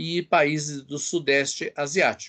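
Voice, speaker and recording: The pace is very slow. A man speaks over a quiet background. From Brazil, São Paulo. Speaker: biology professor. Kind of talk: interview.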